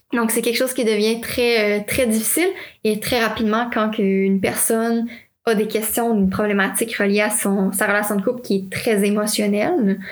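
A woman with a Quebec accent talks at a moderate pace in a fairly high pitch, with fairly even intonation. Her loudness stays very even, and there is audible room echo. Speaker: podcast host. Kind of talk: interview.

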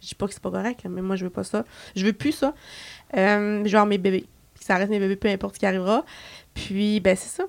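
A woman at a medium pitch talks at a fairly quick pace with fairly even intonation, big swings in loudness and long, frequent pauses, on a very clean recording with a silent background. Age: 20s. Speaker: beauty entrepreneur. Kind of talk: casual chat.

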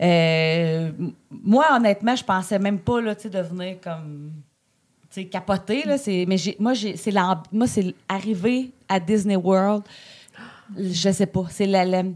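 At a very slow pace with long, frequent pauses, a woman speaks at a medium pitch with ordinary pitch variation. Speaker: podcast co-host. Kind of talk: casual chat.

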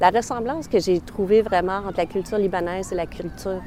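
A woman talks at a moderate pace in a fairly low pitch. Her intonation is fairly even, and background noise is noticeable. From Montreal, Quebec. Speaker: interviewee sharing personal story. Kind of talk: personal testimony.

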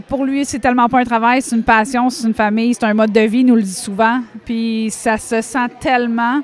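Over noticeable background noise, a woman talks at a moderate pace in a fairly high pitch with monotone, flat intonation. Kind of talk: casual interview chat. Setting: at world championships in Ireland.

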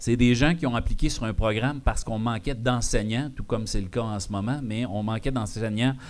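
The man speaks at a medium pitch. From Quebec, Abitibi-Témiscamingue. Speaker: podcast host. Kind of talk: live show with audience. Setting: bar with live audience. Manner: animated.

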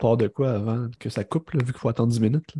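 A man with a Quebec accent talks very fast at a medium pitch, somewhat breathy and with fairly even intonation. His tone is dark and mellow, recorded dry and close with no echo over a quiet background. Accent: Québécois French. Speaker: film podcast co-host. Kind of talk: casual chat.

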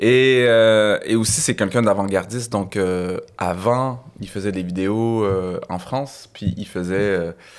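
Fairly low-pitched male speech at a very slow pace, with hardly any pauses and fairly even intonation. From Quebec (Laval, north shore of Montreal), some childhood years in Algeria. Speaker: stand-up comedian. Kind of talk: casual chat.

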